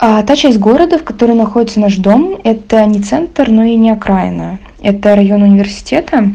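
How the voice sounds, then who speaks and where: A woman's somewhat breathy voice with a dark, mellow tone, ordinary pitch variation, very even loudness and a moderate pace. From Moscow. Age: young. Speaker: contributor sharing a story. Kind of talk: recorded voice message story.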